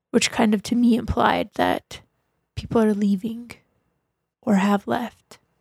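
Speaking at a fairly slow pace with long, frequent pauses, a woman with a fairly high pitch keeps a flat, monotone intonation and very even loudness in a dry, close recording with no echo. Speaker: tabletop game player. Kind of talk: tabletop roleplaying game session.

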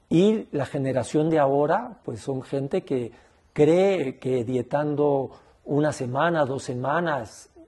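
A man speaks at a fairly high pitch with a dark, mellow tone. His voice is somewhat breathy, with ordinary pitch variation. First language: Spanish. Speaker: ayahuasca healer. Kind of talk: interview.

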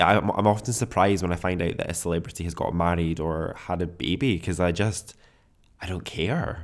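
Speaking at a moderate pace, a man with a very deep, low voice talks with a Scottish accent. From Scotland. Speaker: podcast host. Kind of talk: solo podcast monologue.

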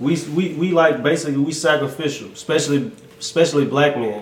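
Speech comes at a moderate pace. Noticeable background noise is present. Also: man. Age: 30s. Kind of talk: casual chat.

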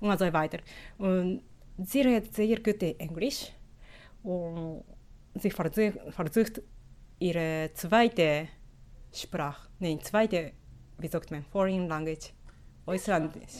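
A woman's medium-pitched voice at a very slow pace, with ordinary pitch variation, big swings in loudness and long, frequent pauses. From Japan. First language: Japanese (speaking German). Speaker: sociolinguist and Yiddish teacher. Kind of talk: interview. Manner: halting.

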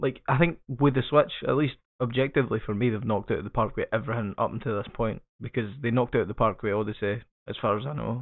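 Very fast delivery in a Scottish accent, with ordinary pitch variation. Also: man. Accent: Scottish, noticeable. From Scotland. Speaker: podcast host. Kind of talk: casual banter podcast.

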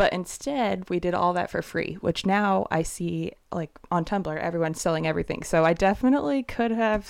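This is a normal speaking voice at a moderate pace, with ordinary pitch variation. The recording is very clean and the background silent. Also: woman. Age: 20s. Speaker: guest, wife. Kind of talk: casual interview chat.

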